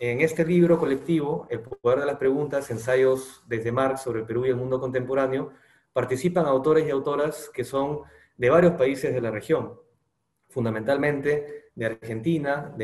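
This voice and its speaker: Over a quiet background with audible room echo, a man talks at a moderate pace in a somewhat breathy voice with fairly even intonation. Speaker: presenter. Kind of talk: formal presentation speech. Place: home room. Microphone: webcam.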